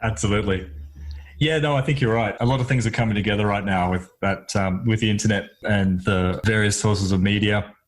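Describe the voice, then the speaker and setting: A man speaks at a fairly quick pace with an Australian accent and a fairly low pitch. His loudness stays very even, with ordinary pitch variation. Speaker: psychologist, podcast host. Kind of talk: casual chat. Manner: halting.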